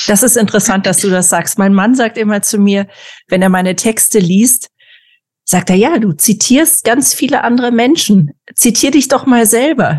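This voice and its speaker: Her fairly high, somewhat breathy voice carries lively intonation and very even loudness at a moderate pace. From former East Germany. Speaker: podcast host. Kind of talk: casual interview.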